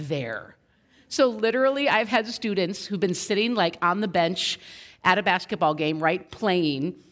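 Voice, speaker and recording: Recorded very cleanly against a silent background, a woman with an American accent speaks at a medium pitch and moderate pace, her tone animated and her pitch variation ordinary. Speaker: youth pastor. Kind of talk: sermon. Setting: school chapel with audience. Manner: loud.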